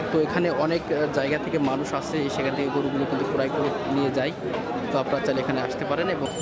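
Crowd noise fills the background of a dry recording with no echo. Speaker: channel host. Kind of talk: casual vlog commentary. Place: market. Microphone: phone near.

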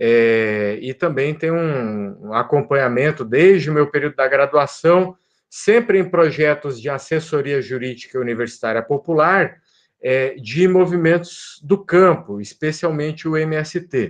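Against a quiet background, a man with a fairly high pitch speaks at a fairly slow pace with lively intonation. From Brazil, Paraná. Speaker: law professor. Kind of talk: lecture. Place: home room. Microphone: webcam.

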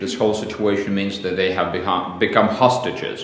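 A man's fairly low voice with audible room echo. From Belarus. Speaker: think tank director, foreign policy expert; interviewee. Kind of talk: interview. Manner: halting, with fillers and repetitions. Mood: calm, measured. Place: home room.

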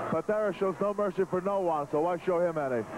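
Over noticeable background noise, a man speaks with ordinary pitch variation in a dry sound with no echo. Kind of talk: wrestling commentary. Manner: excitable, opinionated color commentary with frequent fillers and stumbles. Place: hall.

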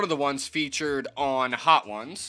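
Faint music plays in the background as a man speaks. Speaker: hot sauce reviewer. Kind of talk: casual vlog chat. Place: home room. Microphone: phone near.

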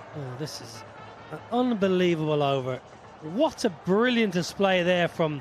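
A man's high-pitched voice at a fairly slow pace, with very wide pitch swings and big swings in loudness over noticeable background noise. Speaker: cricket commentator. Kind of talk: live sports commentary.

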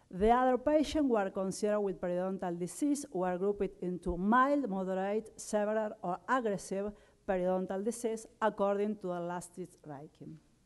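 Speaking at a moderate pace with ordinary pitch movement, a woman is heard over a quiet background. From Argentina. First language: Spanish. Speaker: dentist and microbiology researcher. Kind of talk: conference talk. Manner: halting, with frequent fillers. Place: hall. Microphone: podium.

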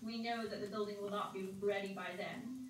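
A woman speaks with fairly even intonation. Audible room echo and light background noise surround her voice. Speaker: presenter. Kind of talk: briefing answer to board questions. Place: hall.

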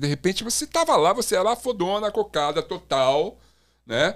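Against a quiet background, a man talks at a moderate pace. His pitch swings very widely. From Brazil. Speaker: podcast host, former music TV presenter. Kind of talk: casual chat. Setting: studio, live stream. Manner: animated. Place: studio. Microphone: studio mic.

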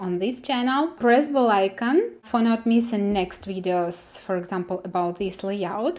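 A woman with a Russian accent talks at a fairly slow pace, using ordinary pitch variation. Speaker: web developer tutor. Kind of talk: coding tutorial. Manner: hesitant, with many fillers. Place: home room.

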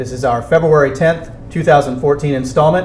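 A man speaks with fairly even intonation over light background noise. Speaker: show host. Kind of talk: TV show intro. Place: studio.

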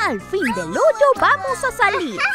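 A cartoonish character voice moves at a fairly slow pace with very wide pitch swings over clear music in the background.

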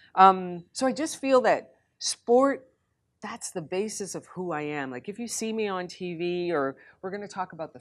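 A woman speaks with a fairly low pitch and lively intonation. The background is quiet. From Canada, Montreal. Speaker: former Olympic hurdler and journalist; journalist guest. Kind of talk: casual chat. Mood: warm, animated storytelling. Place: hall. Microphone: lapel.

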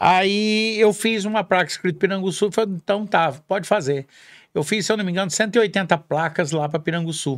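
A man talks at a moderate pace in a high voice with ordinary pitch variation against a quiet background. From Minas Gerais, Brazil (south Minas). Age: 50s. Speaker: rodeo announcer. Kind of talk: casual chat. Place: studio. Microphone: studio mic.

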